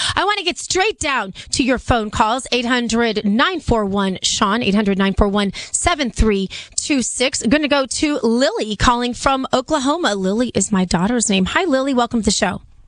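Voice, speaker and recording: Over noticeable background noise, a woman speaks at a moderate pace in a high pitch, with lively intonation and very even loudness. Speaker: radio host. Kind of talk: talk radio call-in.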